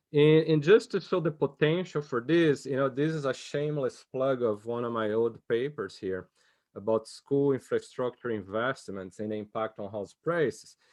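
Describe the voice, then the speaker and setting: A man with a plain, everyday voice speaks at medium pitch and a moderate pace, with ordinary pitch variation. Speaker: economics discussant. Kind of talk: academic conference discussion.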